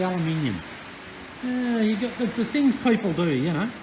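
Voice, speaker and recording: With an Australian accent and lively intonation, a man talks at a moderate pace amid noticeable background noise and audible room echo. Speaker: engine restoration YouTuber. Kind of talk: workshop tutorial. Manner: loud; casual, hesitant with fillers.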